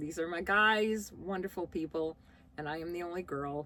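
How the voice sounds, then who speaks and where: A woman with an American accent speaks at a moderate pace in a fairly low pitch, with ordinary pitch variation. It is a plain, everyday voice. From US Midwest, Chicago. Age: 60s. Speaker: vlogger. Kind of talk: casual Q&A vlog.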